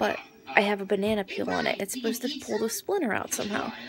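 A woman's voice comes through with clear music behind it. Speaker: social media vlogger. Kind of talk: casual vlog chat. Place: home room. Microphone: phone near.

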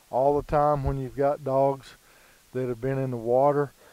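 A man at a medium pitch with monotone, flat intonation, in a dry sound with no echo. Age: 40s. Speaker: retriever dog trainer. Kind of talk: casual tutorial. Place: waterside.

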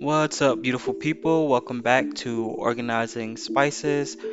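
With music in the background, a man talks at a moderate pace and medium pitch. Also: ordinary pitch variation. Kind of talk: voiceover commentary on cleaning video. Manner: casual, joking.

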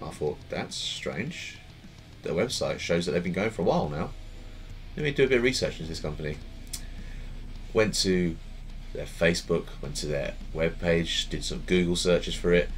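At a moderate pace, a man speaks with long, frequent pauses while faint music plays in the background. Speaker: unboxing vlogger. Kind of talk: casual vlog chat. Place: home room.

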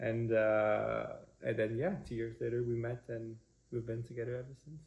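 A somewhat breathy man with a Quebec accent speaks at a moderate pace with fairly even intonation. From Quebec, Montreal. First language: French. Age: 20s. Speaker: prospective parent. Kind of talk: personal introduction video. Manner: halting, many fillers. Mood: warm, relaxed, smiling. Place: kitchen. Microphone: camera far.

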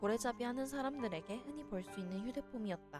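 Music plays in the background. The tone is calm, with lively intonation. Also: woman. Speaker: virtual streamer. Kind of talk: novel reading. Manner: calm, soft-spoken.

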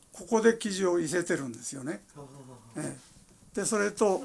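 The speech moves at a moderate pace with faint music in the background. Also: man. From Ehime, Japan. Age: 80s+. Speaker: tailor. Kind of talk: interview answer. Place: workshop. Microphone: lapel.

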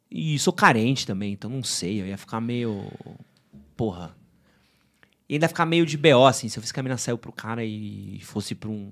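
Against a quiet background, a man talks at a moderate pace with lively intonation, big swings in loudness, and long, frequent pauses. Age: 30s. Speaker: men's fashion and style presenter; presenter. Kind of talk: casual chat. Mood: relaxed, joking. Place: studio. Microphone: studio mic.

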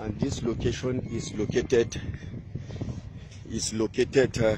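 Speaking slowly, a man uses a slightly mellow tone and fairly even intonation.

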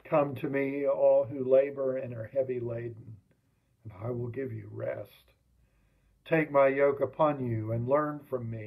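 Over a quiet background, a man with an American accent speaks in a dark, mellow tone at a fairly slow pace with fairly even intonation. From US South. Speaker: lay worship leader. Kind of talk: liturgical prayer service. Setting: online livestream. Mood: calm, solemn. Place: home room. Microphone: webcam.

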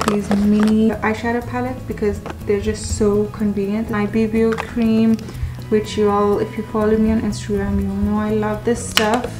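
Over noticeable background noise, a woman talks at a moderate pace. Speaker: travel vlogger. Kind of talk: casual vlog chat. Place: home room. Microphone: phone near.

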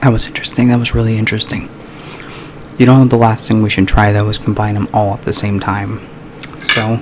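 A man's fairly low, monotone voice with flat intonation at a fairly quick pace amid noticeable background noise. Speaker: youtuber. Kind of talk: casual vlog chat. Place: home room. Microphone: studio mic.

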